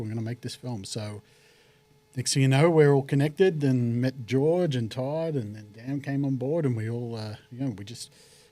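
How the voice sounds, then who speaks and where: With an Australian accent, a man speaks at a moderate pace in a dark, mellow tone. His pitch is medium, with ordinary pitch variation. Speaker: actor and film producer. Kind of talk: podcast interview.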